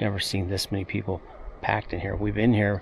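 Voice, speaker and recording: This man talks at a moderate pace, his pitch fairly low. Vocal fry runs through his voice. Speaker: travel vlogger. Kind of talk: casual vlog narration. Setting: outdoors. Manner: quiet.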